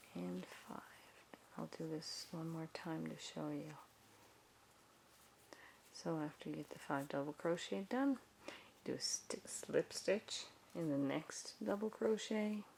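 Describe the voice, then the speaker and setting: A soft-spoken woman at a very slow pace, with long, frequent pauses. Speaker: crafter. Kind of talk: crochet tutorial. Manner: soft-spoken, relaxing.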